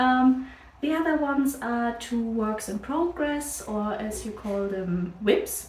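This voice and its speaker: With a German accent, a high-pitched woman speaks very slowly with ordinary pitch variation, amid audible room echo and noticeable background noise. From Germany. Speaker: crafts podcaster. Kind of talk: casual chat. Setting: on camera.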